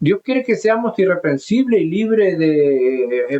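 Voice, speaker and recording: A man with a Chilean accent speaks at a fairly slow pace in a dark, mellow tone, with very wide pitch swings. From southern Chile, mining region. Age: 70s. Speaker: pastor. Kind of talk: sermon. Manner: halting.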